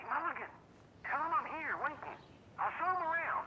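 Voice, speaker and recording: A put-on character voice, high in pitch and fairly quick, over clear background noise. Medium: video game. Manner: loud, blunt.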